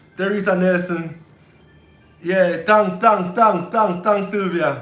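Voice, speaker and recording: A man at a very slow pace, high in pitch with fairly even intonation, amid audible room echo and music in the background. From Jamaica. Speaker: family vlogger and live stream host. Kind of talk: casual live stream chat.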